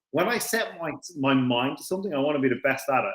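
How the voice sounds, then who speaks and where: Fairly quick, animated speech in an Irish accent. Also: man. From Ireland, Dublin area. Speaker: racing driver. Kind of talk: casual chat.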